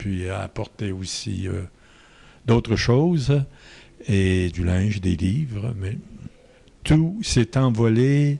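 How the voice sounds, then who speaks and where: Very slow and somewhat breathy, a man speaks at medium pitch in a dark, mellow tone with lively intonation. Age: 70s. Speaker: Marianist missionary priest. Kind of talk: interview answer.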